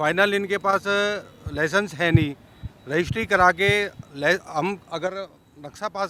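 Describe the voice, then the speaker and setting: Over noticeable background noise, a man with a high pitch uses a raised, projected voice and lively intonation. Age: 60s. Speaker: residents' association member. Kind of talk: media interview, complaint. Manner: hesitant with fillers.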